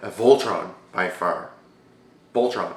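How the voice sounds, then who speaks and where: Audible room echo surrounds a man talking at a moderate speed. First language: not English. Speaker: YouTube Q&A show host. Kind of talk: casual vlog Q&A. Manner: animated.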